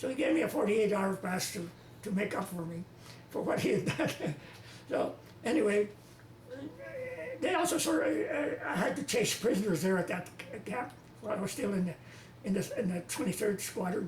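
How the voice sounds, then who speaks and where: A man with a high pitch and lively intonation, at a moderate pace with long, frequent pauses, over noticeable background noise. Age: 80s+. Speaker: war veteran. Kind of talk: interview answer.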